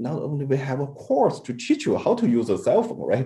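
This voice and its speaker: This man has a medium pitch and a dark, mellow tone with vocal fry. His pitch swings very widely. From China. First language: Chinese. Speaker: robotics scientist. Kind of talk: panel discussion. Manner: halting.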